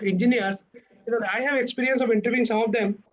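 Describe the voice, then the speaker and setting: Speaking in an Odisha accent, a man has an extremely high pitch. He talks at a very fast pace with ordinary pitch variation. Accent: Odia. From India, Odisha. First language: Odia. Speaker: corporate director, alumnus speaker. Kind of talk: talk to students. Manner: halting, many fillers.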